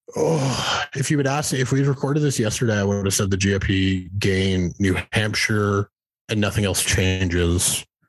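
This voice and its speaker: At a moderate pace, a man with an ordinary speaking voice talks at a fairly low pitch with ordinary pitch variation and very even loudness. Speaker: election analyst and newsletter writer. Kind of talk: casual political interview.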